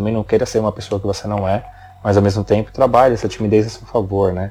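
This man's fairly low voice rushes along at a very fast pace. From São Paulo, Brazil. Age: 30s. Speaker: marketing and video professional. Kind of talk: interview.

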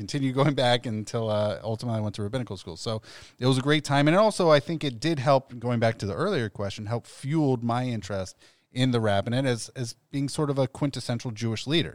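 With an American accent, a man speaks very fast at a medium pitch with ordinary pitch variation, on a very clean recording with a silent background. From Ohio (Columbus). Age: 40s. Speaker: rabbi. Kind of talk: casual chat. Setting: studio.

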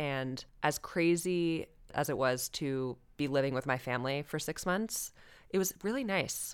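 Lively intonation carries a fairly slow delivery on a very clean recording with a silent background. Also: woman. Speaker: returned expat guest. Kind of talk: casual interview chat.

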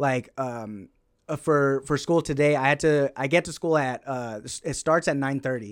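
A man's ordinary speaking voice, fairly high in pitch, at a moderate pace with ordinary pitch variation. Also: very clean recording, silent background. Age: 20s. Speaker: stand-up comedian and anthropology student. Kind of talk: casual podcast interview.

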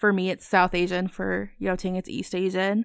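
With an American accent, a woman speaks at medium pitch in a flat monotone, recorded very cleanly against a silent background with a dry, close sound and no echo. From US (Virginia, Idaho, Alabama, Missouri). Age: 20s. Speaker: podcast co-host. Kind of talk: casual chat.

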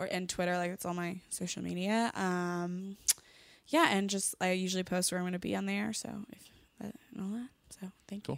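In a plain, everyday voice with an American accent, a woman speaks fairly quickly at a medium pitch with ordinary pitch variation. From Connecticut. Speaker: comedian. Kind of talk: casual chat.

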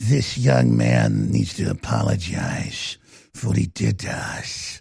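This man uses a put-on character voice that is very deep and low, raspy, with very wide pitch swings at a fairly slow pace. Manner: mocking, accusatory.

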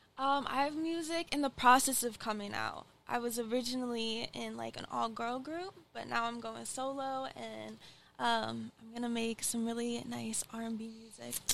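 A woman with an American accent speaks at a moderate pace. Her loudness swings widely. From Michigan. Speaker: actor and singer. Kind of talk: casual interview. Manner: hesitant, many fillers.

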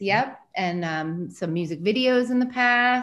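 A woman with an unremarkable speaking voice, medium pitch, and ordinary pitch variation. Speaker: film discussion host. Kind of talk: moderated video call conversation. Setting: video call.

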